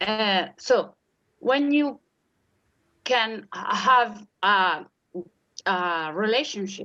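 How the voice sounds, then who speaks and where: A woman speaks very slowly at a fairly high pitch, her tone bright and sharp, her intonation lively, with long, frequent pauses. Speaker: puppeteer, primary school teacher, art therapy doctoral student. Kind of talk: interview answer. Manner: hesitant, disfluent.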